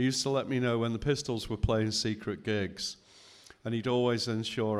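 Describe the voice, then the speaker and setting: This is an ordinary speaking voice from a man with a fairly low pitch. He talks at a fairly quick pace with fairly even intonation. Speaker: photographer and author. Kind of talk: reading aloud. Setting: stage with audience.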